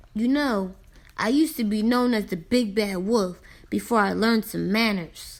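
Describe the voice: Putting on a growling character voice, a woman speaks at a moderate pace in a fairly high pitch with ordinary pitch variation.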